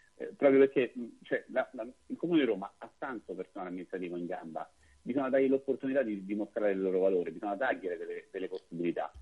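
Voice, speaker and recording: Loudness rises and falls in big swings. The pace is very fast. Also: man. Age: 40s. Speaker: political candidate. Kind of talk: radio interview.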